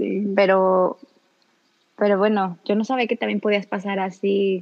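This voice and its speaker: A woman talks at a fairly slow pace with a medium pitch and a plain, everyday voice. The sound is dry and close, with no echo. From Mexico, Celaya, Guanajuato. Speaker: radio host. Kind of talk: casual chat.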